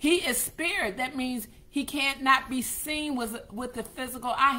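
A woman's high-pitched, raised, projected voice. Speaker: pastor. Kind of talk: sermon / preaching broadcast. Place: home room. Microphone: webcam.

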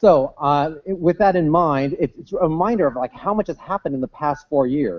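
His pitch moves with ordinary variation. This man talks at a fairly quick pace. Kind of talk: keynote speech. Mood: light, humorous. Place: hall. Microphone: podium.

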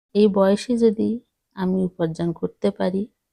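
In a dry, close recording with no echo, a woman speaks at a medium pitch with a dark, mellow tone. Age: old. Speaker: cooking YouTuber. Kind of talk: talking-head vlog. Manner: halting.

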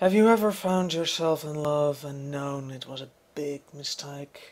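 The speaker uses a put-on character voice at a low-to-middle pitch. The pace is moderate. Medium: dub. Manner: flustered, sarcastic.

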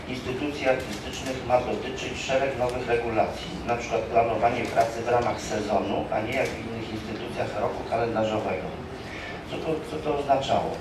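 A man talks at a fairly quick pace. Loud background noise and audible room echo fill the recording. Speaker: employee council representative. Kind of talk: conference speech. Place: hall.

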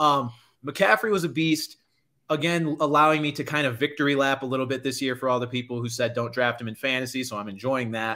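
Over a quiet background, a man with a bright, sharp tone talks at a very fast pace with ordinary pitch variation. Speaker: sports podcast host. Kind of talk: casual chat. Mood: playful, opinionated. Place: home room.

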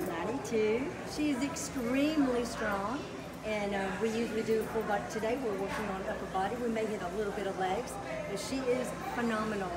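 Amid loud background noise, a woman speaks at a moderate pace. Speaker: personal trainer. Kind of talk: interview answer. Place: gym. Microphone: phone near.

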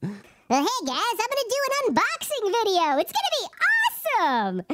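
In a put-on character voice, the speaker goes at a moderate pace with an extremely high pitch and very wide pitch swings. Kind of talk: put-on performative voice. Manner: hyped, overly enthusiastic.

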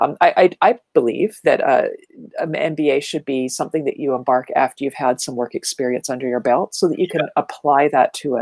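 Against a quiet background, a woman talks at a fairly quick pace. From Ontario, Canada (small town north of Toronto). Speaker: marketing speaker and educator; speaker, educator. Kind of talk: casual interview chat. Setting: video call. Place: home room. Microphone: earbuds.

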